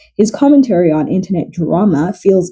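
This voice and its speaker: Her medium-pitched voice has a dark, mellow tone and is somewhat breathy. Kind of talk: casual biography commentary narration.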